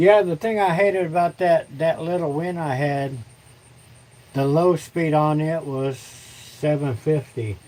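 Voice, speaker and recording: A man with an American accent speaks at a fairly slow pace in a dark, mellow tone. His pitch is fairly high and varies in an ordinary way. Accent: Southern US redneck accent, moderate. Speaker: woodturning livestreamer. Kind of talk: casual livestream chat. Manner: halting, repeats words.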